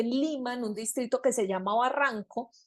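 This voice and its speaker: A woman speaks with a high pitch and ordinary pitch variation. The sound is dry and close with no echo, over a quiet background. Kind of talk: interview answer, storytelling.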